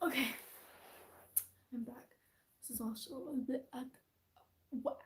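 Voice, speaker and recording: Soft-spoken, a woman talks at a moderate pace with a high pitch and fairly even intonation. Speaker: fursuit maker vlogger. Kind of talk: casual tutorial vlog. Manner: soft-spoken, quiet.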